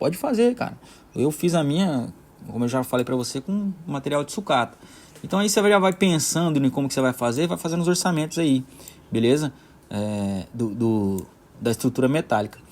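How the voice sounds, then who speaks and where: This man talks at a fairly quick pace with a fairly high pitch and very wide swings in pitch. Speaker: maker tutorial creator. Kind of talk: tutorial. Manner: fast, sometimes jumbled words; casual, hesitant with filler words.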